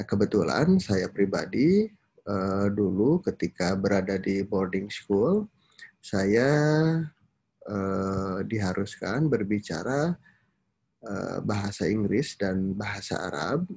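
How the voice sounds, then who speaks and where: Against a quiet background, a man speaks very slowly at a fairly low pitch with ordinary pitch variation. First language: Sundanese (speaking Indonesian). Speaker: university lecturer. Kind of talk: lecture. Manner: frequent hesitation fillers.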